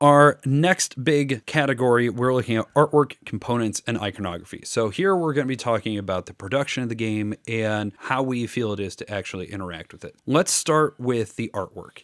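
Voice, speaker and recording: In a Midwestern US accent, a man talks at a fairly quick pace with hardly any pauses. His medium pitch has lively intonation, and the sound is dry and close with no echo. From US Midwest. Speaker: board game reviewer. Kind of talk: casual review conversation.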